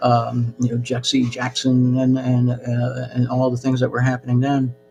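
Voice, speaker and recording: A man with an American accent and a medium pitch, monotone and flat in intonation, at a moderate pace with very even loudness, music in the background. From US, New Jersey, with childhood years in Peru. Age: 60s. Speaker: channel host. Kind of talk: live-stream monologue. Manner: halting, many fillers.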